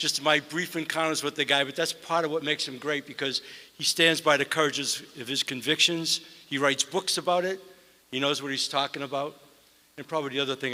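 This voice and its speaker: Very fast speech from a man with a bright, sharp tone. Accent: Boston. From US Northeast (Boston). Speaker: mayor. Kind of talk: award ceremony speech. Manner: hesitant, conversational.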